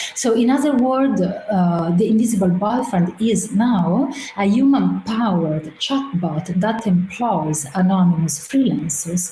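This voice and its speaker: Against noticeable background noise and audible room echo, the voice moves at a fairly slow pace with lively intonation. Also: woman. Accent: Italian. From Italy. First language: Italian. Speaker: artist and researcher. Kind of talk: presentation. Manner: hesitant, many filler sounds.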